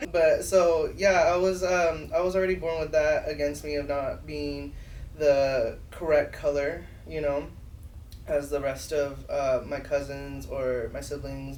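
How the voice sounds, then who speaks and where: A man speaks at a fairly slow pace, with audible room echo. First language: Spanish. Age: 30s. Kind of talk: casual chat. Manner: animated.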